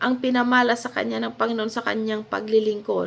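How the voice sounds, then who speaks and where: A woman speaks in a raised, projected voice. Her intonation is lively. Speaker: Bible teacher. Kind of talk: Bible study talk.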